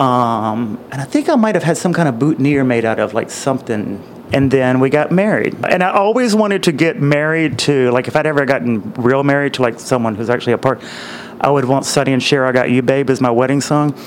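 Amid noticeable background noise, a man speaks at a fairly quick pace with a medium pitch and ordinary pitch variation. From Mississippi. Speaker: friend of a band. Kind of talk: interview storytelling. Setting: at his home.

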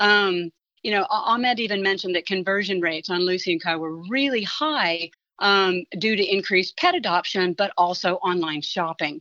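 Speaking in a normal speaking voice, a woman at medium pitch keeps a moderate pace with ordinary pitch variation. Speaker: marketing professor. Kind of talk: expert commentary.

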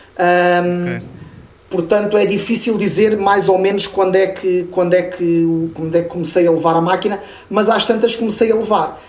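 Over noticeable background noise and audible room echo, a man talks at a moderate pace in a high voice. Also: fairly even intonation. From Portugal, Lisbon. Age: 40s. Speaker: metal webzine reporter and radio host. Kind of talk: casual chat.

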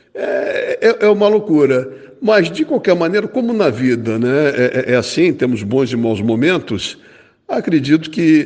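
Lively intonation marks this man's speech, which moves at a fairly slow pace. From Rio de Janeiro, Brazil. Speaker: football fan guest. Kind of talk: casual chat. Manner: hesitant, repeats words.

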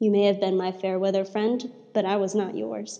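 A woman with a normal speaking voice, medium pitch, a moderate pace and an American accent. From southern Arizona. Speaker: poet. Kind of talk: reading aloud; casual chat.

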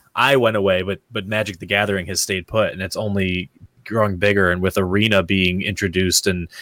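A plain, everyday voice with an American accent at a moderate pace, dry and close with no echo. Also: man. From US East Coast. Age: 30s. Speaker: streamer and gamer. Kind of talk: casual interview chat.

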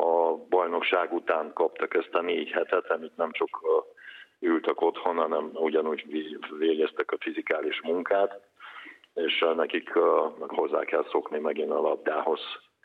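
Long, frequent pauses break up this man's speech. His pace is fairly slow. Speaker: national team handball coach. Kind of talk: interview. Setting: phone call. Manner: halting.

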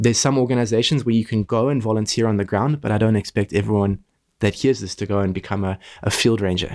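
A man with a fairly low voice talks at a very fast pace in fairly even intonation. The recording is very clean, with a silent background. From South Africa, near Kruger National Park. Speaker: conservation organization founder. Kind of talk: interview.

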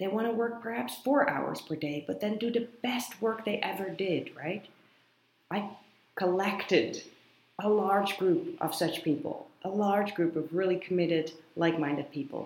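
Her medium-pitched voice has lively intonation as the woman speaks at a moderate pace amid audible room echo. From Netherlands. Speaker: podcast host and writer. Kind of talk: casual monologue. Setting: office in a coworking space.

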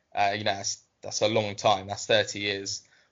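A man speaks with a southern English accent. His pitch is fairly low. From southern England, Southampton. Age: 20s. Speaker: football writer. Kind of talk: interview.

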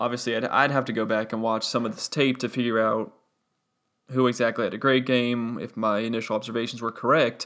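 Monotone and flat, the man's medium-pitched voice carries little intonation. He talks at a fairly quick pace. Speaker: sports writer and podcast host. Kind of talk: solo instant-reaction sports podcast. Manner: off-the-cuff, unscripted.

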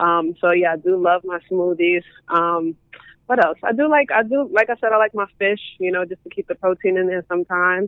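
A woman speaks at a fairly quick pace and medium pitch, with ordinary pitch variation. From Brooklyn, New York (East New York). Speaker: sports industry professional. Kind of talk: casual interview. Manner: hesitant, many fillers.

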